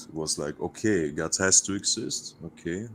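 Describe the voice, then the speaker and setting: With a German accent, a man talks at a fairly slow pace in a very deep, low pitch with ordinary pitch variation. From Russia. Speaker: caller. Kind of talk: casual chat. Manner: halting.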